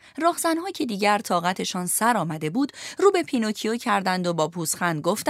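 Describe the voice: Reading aloud, plain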